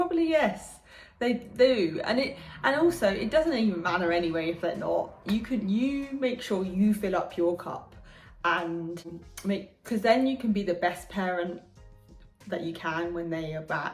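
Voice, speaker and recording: Over music in the background, a woman at medium pitch talks with lively intonation at a fairly slow pace, with audible room echo. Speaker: vlogger, single mother. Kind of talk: casual vlog talk. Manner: hesitant, with many fillers and restarts.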